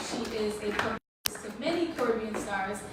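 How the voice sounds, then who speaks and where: A woman speaks with ordinary pitch variation. Room echo can be heard. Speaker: event host and panel moderator. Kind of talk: live event hosting. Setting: stage with audience, microphone. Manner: loud.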